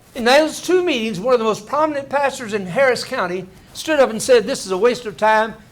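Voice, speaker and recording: Animated in tone, a man talks at a fairly quick pace with lively intonation amid noticeable background noise. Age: 70s. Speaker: pastor and political organizer. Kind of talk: speech to an audience.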